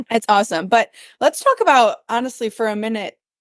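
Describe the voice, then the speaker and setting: Against a quiet background with dry, close sound and no echo, a woman with a northern US accent talks at a fairly quick pace, her fairly high pitch moving in lively intonation. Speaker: podcast co-host, adoptive mom, nonprofit runner. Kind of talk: casual chat.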